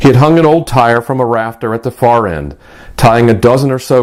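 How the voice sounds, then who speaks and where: This man talks at a fairly quick pace in an unremarkable speaking voice, with medium pitch and ordinary pitch variation. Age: 60s. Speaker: author. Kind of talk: scripted narration; reading aloud.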